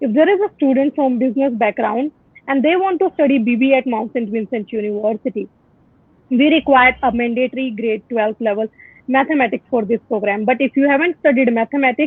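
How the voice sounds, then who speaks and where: A woman with an Indian accent talks at a fairly quick pace in a high pitch, with lively intonation. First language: Hindi. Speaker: university admissions representative. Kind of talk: informational webinar Q&A. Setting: Facebook live video call.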